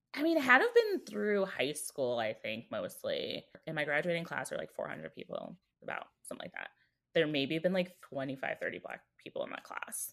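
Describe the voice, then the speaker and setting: A woman with an American accent talks at a fairly quick pace. Her loudness swings widely. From Chicago, South Side (Beverly). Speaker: interview guest. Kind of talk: casual chat.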